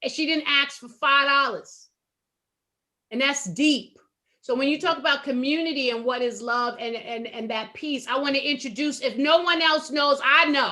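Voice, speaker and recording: In a raised, projected voice, a woman speaks at a high pitch with ordinary pitch variation and a moderate pace. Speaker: talk radio host. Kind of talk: casual panel discussion. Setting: internet talk radio. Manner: loud.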